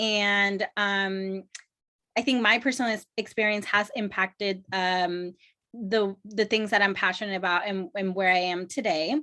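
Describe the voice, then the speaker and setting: A woman's bright, sharp tone at a medium pitch, fairly slow pace and fairly even intonation, over a quiet background. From Mexico. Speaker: graduate student. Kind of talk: panel presentation. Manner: halting, many fillers.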